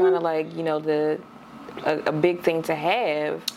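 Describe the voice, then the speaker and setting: A fairly low-pitched woman's voice with fairly even intonation and noticeable background noise. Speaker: podcast co-host. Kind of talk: casual chat.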